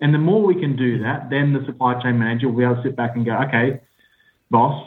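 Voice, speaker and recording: A man with an Australian accent talks at a very fast clip, his intonation fairly even. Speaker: business analyst. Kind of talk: interview.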